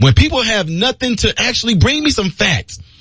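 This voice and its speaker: Over noticeable background noise, a man talks in an animated tone with very wide pitch swings. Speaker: radio talk show host. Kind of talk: talk radio monologue. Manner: fast.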